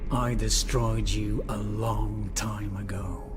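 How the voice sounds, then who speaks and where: Against loud background noise, a man puts on a character voice at a very slow pace. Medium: short film. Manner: grim, terse.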